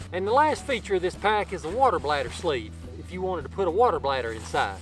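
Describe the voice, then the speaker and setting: Clear music plays behind a man talking fairly quickly in a dry sound with no echo. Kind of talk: tutorial. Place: forest.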